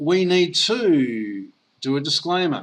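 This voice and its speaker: Speaking in an Australian accent, a man uses a fairly high pitch. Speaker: network marketer. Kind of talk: sales pitch. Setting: online call.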